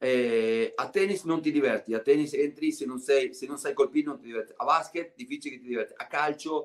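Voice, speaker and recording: A man speaks at a fairly quick pace with ordinary pitch variation over a quiet background. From Argentina. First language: Spanish (speaking Italian). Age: 50s. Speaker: former basketball player and TV commentator; guest. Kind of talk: casual interview. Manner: halting, many repetitions. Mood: relaxed, animated storytelling. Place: home room. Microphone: video call.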